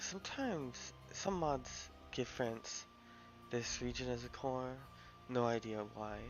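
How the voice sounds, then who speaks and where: With music in the background, a man speaks breathily at a medium pitch and fairly slow pace. His pitch varies in an ordinary way, and he pauses long and often. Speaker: video game streamer. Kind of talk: gameplay commentary. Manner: casual, conversational.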